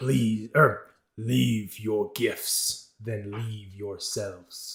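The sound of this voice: A man does a booming, put-on character voice at medium pitch and a very slow pace. The recording is very clean with a silent background.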